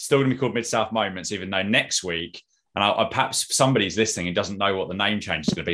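The man has a fairly low pitch and a bright, sharp tone. His pitch varies in an ordinary way in a very clean recording with a silent background. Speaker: wrestling podcast host. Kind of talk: casual chat. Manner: fast.

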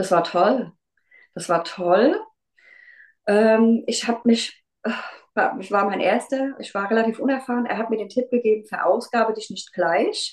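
A woman talks at a fairly slow pace with long, frequent pauses. Her pitch is fairly high, with ordinary pitch variation and big swings in loudness. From Rheinhessen near Mainz, Germany. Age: 40s. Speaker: kindergarten teacher and amateur runner. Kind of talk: casual interview.

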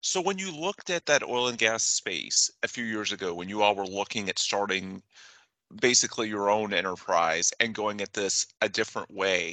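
Lively intonation and a bright, sharp tone move at a moderate pace, with a dry, close sound with no echo and a quiet background. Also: man. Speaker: podcast host and trade magazine news editor. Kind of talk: interview.

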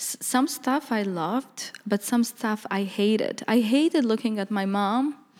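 A woman's fairly high voice at a moderate pace, ordinary pitch variation, with noticeable background noise. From Bosnia, Bihac area, Roma village. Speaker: visual artist. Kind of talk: interview.

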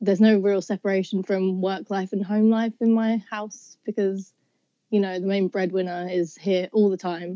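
Woman with a southeast English accent at medium pitch, monotone and flat, dark and mellow in tone, at a moderate pace, with dry, close sound and no echo. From southeast England. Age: 20s. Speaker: university student. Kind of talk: casual chat.

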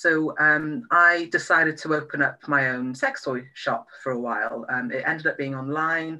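A speaker with a Welsh accent talks at a moderate pace with hardly any pauses. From Wales. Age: 30s. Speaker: sex and relationship therapist. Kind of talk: interview. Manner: hesitant, many fillers.

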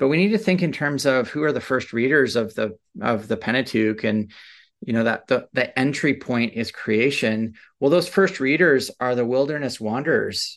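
With a Canadian accent, a man uses a normal speaking voice at medium pitch, moving at a moderate pace with lively intonation over a quiet background. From Canada. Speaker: seminary professor. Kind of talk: interview about biblical theology.

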